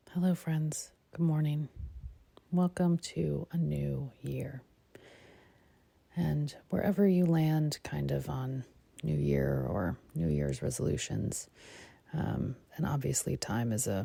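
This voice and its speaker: Long, frequent pauses break up the delivery, which unfolds at a very slow pace. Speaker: meditation guide. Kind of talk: guided meditation. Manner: casual, conversational.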